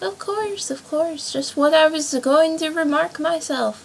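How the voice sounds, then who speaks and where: A woman's put-on character voice, high-pitched, squeaky and hoarse, at a fairly slow pace. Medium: read story.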